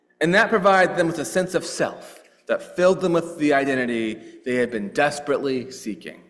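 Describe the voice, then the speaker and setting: With lively intonation and a high pitch, a man speaks at a fairly quick pace, with audible room echo. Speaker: clergy leading worship service. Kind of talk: sermon.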